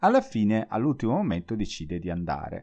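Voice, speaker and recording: Over a quiet background, a man speaks in an unremarkable speaking voice. His pitch is fairly low, his pace fairly quick and his intonation lively. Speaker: Italian language teacher podcaster. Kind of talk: solo educational podcast monologue.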